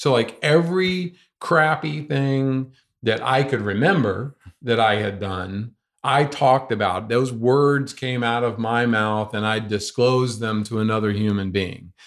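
With an American accent, a man talks in an ordinary speaking voice at medium pitch and a fairly slow pace, with ordinary pitch variation over a quiet background. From US South, North Carolina. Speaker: ultramarathon runner. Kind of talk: interview. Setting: in person.

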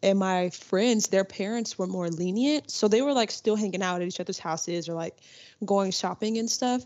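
Her pitch sits at a medium level for a woman, with ordinary pitch variation, a moderate pace and an unremarkable speaking voice. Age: young. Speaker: student peer ambassador. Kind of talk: casual chat.

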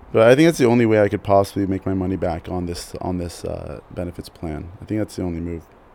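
Barely pausing, a man rushes along at a very fast pace in a very deep, low voice with ordinary pitch variation. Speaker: podcast host. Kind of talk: solo podcast monologue, casual. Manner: casual, rambling, hesitant with fillers; self-deprecating, humorous.

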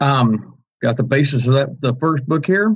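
Speaking with an American accent, a man has a somewhat breathy voice. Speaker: podcast host. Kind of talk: political talk show, opinionated commentary.

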